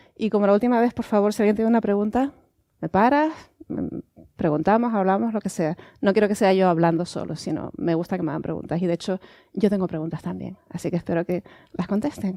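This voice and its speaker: In a Canarian accent, a woman races along at a very fast pace with lively intonation and a dark, mellow tone, the sound dry and close with no echo. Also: medium pitch for a woman. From Canary Islands, Tenerife. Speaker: astronomer. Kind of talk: public science lecture. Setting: museum lecture with audience.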